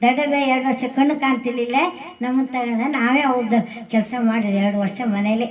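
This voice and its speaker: A woman's high-pitched voice with fairly even intonation amid noticeable background noise. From coastal Karnataka, Udupi district. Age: old. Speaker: farmer. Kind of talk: speech. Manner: halting.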